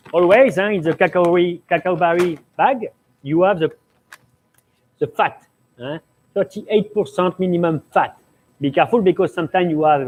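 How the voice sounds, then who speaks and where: At a moderate pace, a man with a high pitch talks with ordinary pitch variation in a dry, close sound with no echo. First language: French. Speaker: pastry chef. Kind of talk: cooking demonstration Q&A. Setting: live stream studio. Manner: halting.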